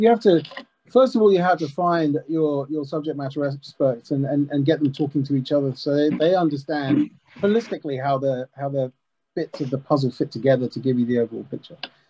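Speaking fairly quickly in an ordinary speaking voice, a man has a fairly high pitch and ordinary pitch variation, with light background noise. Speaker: customer success manager. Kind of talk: panel discussion. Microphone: video call.

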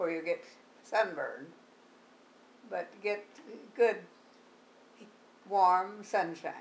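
A woman talks at a very slow pace. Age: 80s+. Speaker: health advocate. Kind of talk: interview answer. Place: home room. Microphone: camera far.

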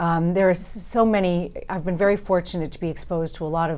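Speech comes at a fairly quick pace with a New York accent. The intonation stays fairly even. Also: woman. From Long Island, New York. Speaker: district attorney and congressional candidate; district attorney, candidate. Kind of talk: interview. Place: studio. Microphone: lapel.

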